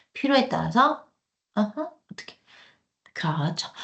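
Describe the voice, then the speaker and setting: Somewhat breathy and animated, a woman with fairly high pitch makes very wide pitch swings. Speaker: cloud computing instructor. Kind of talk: lecture. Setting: online live class with screen share. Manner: fast.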